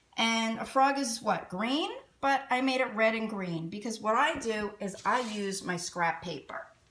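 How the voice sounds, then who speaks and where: A woman's fairly high, animated voice with lively intonation at a fairly slow pace, over noticeable background noise. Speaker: children's art teacher. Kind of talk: children's craft tutorial.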